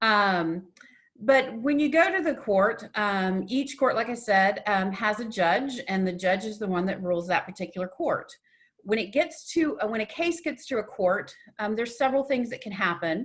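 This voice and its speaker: A woman with an American accent speaks at a moderate pace in a somewhat breathy voice, with a fairly high pitch and lively intonation. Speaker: domestic violence advocate and trainer. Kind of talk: webinar presentation.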